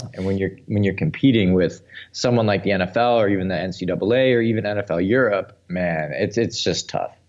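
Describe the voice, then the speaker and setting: A normal speaking voice from a man with an American accent, fairly low in pitch, at a fairly quick pace with ordinary pitch variation and a quiet background. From Milwaukee, Wisconsin. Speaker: podcast host, sports commentator. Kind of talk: casual chat.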